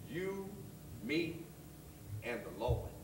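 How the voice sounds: Using a put-on character voice, a man speaks very slowly at a fairly high pitch with big pitch swings, and the room echo is audible.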